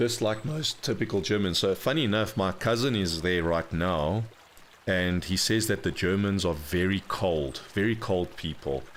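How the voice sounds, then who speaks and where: With a very deep, low pitch, a man talks at a moderate pace using lively intonation. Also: very even loudness. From South Africa. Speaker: video game streamer. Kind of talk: live gameplay stream commentary. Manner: casual, halting with fillers.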